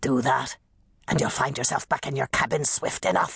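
At a moderate pace, a raspy, hissing put-on character voice speaks at a low-to-middle pitch. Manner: hissing, threatening.

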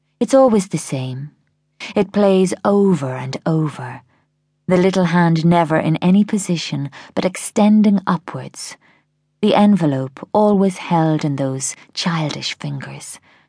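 The voice has a dark, mellow tone in an Irish accent. Its intonation is lively. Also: woman, fairly low pitch for a woman, fairly slow pace, quiet background. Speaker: audiobook narrator. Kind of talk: dramatic first-person audiobook narration of a thriller. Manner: slow, hushed, mournful and wistful; measured, expressive, reflective with grief.

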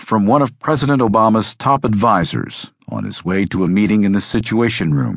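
Against a quiet background, a man with a fairly low pitch and vocal fry speaks at a moderate pace in a dramatic tone with lively intonation, the sound dry and close with no echo. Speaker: audiobook narrator. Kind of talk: scripted narration, audiobook reading of a history book; dramatic narration. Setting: studio. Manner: measured, dramatic, formal.

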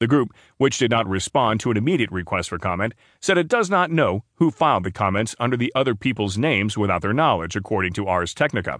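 A man talks at a very fast pace in a medium pitch. His intonation is lively. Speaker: audiobook narrator. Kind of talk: news reading. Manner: formal, even-paced, neutral newsreader delivery.

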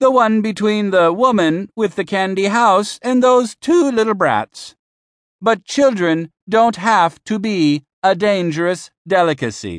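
A man's high-pitched voice at a fairly slow pace, with ordinary pitch variation against a quiet background. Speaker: audiobook narrator. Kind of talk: comic in-character audiobook narration as a witch. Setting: studio. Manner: theatrical, mock-infomercial sales-pitch delivery; gleefully sinister, relishing dark punchlines.

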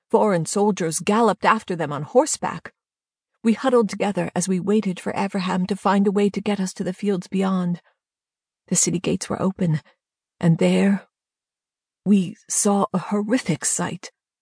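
Speaking at a moderate pace with long, frequent pauses, a woman has a somewhat breathy, medium-pitched voice with ordinary pitch variation, recorded dry and close with no echo against a quiet background. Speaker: audiobook narrator. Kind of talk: dramatic audiobook narration, first person. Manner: tense, vivid, urgent storytelling.

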